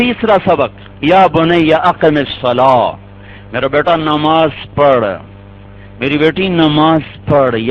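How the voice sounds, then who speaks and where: Noticeable background noise sits under a man whose fairly high pitch shows ordinary variation and whose loudness stays very even. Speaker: Islamic scholar preacher. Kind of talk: Islamic sermon (bayaan).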